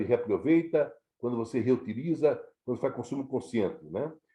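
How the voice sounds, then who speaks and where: With a dark, mellow tone and lively intonation, a man speaks at a medium pitch and moderate pace. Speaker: scouting educator, retired national office staff. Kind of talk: lecture. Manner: halting, many fillers and repetitions.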